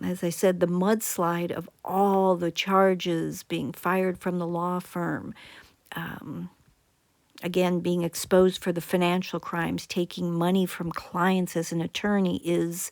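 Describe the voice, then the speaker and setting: Recorded very cleanly against a silent background, a woman with a fairly low pitch speaks at a fairly slow pace in a monotone, flat intonation. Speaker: psychologist commentator. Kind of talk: video commentary.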